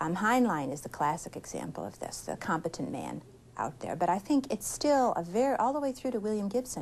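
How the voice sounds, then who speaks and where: Vocal fry runs through this woman's voice, and she speaks with an American accent. She talks at a fairly quick pace, her pitch swinging very widely. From United States. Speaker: science fiction writer. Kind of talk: interview.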